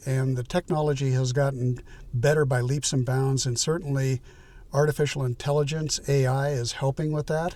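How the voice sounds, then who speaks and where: The voice is somewhat breathy with a dark, mellow tone. It moves at a moderate pace with fairly even intonation. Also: man. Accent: American. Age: 70s. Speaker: YouTuber, retired tech professional. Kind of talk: casual vlog monologue. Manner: hesitant, many fillers and repeats.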